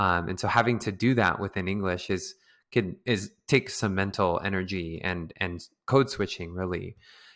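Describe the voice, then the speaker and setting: With an American accent, the speaker talks at a moderate pace with ordinary pitch variation. The recording is very clean with a silent background. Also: man, very deep, low pitch for a man. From San Diego, California (US West Coast), Filipino American community. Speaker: hip-hop dancer. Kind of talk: in-depth podcast interview. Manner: halting with frequent repetitions and fillers.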